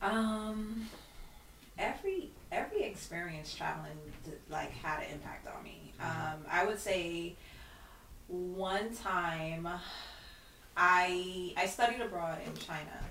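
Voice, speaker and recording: In a Brooklyn accent, a woman speaks at a medium pitch and a fairly slow pace, with ordinary pitch variation, long, frequent pauses and big swings in loudness. Audible room echo and noticeable background noise are present. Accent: New York (Brooklyn). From Brooklyn, New York (Flatbush). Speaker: wellness coach. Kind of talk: casual interview. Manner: halting, many fillers.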